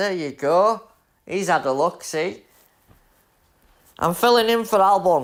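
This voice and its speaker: Speaking in a Yorkshire accent, a man uses a high pitch and lively intonation at a fairly slow pace, with long, frequent pauses. The recording is very clean with a silent background. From Leeds, Yorkshire, northern England. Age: 30s. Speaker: gaming streamer. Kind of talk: live gameplay stream chat. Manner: casual, chatty.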